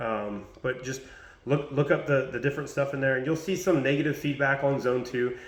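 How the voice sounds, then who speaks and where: With audible room echo, a man talks at a very fast pace and medium pitch, using ordinary pitch variation. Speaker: fitness coach. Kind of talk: casual tutorial vlog.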